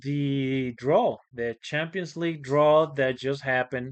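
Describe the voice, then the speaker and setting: A man talks with a slight Spanish accent at a fairly high pitch. His intonation stays fairly even. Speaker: football channel host. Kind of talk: casual vlog commentary. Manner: hesitant, many fillers.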